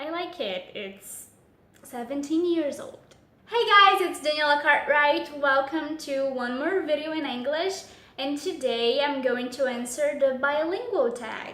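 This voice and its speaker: A woman's high, bright, sharp voice at a fairly slow pace with lively intonation and audible room echo. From Brazil. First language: Portuguese. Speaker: YouTuber and English teacher. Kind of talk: vlog tag Q&A.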